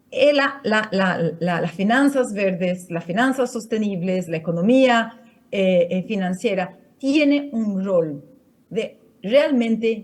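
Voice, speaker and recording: A woman in a Portuguese accent, medium in pitch, with lively intonation and a very slow pace. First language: Portuguese (speaking Spanish). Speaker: finance network coordinator, panel speaker. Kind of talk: conference talk. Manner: halting, many fillers and restarts.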